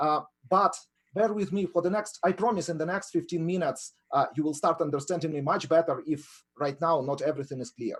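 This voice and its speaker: Speaking with a Ukrainian accent, a man uses a high pitch and ordinary pitch variation. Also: fairly quick pace. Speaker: professor of entrepreneurship. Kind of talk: webinar lecture. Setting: online webinar.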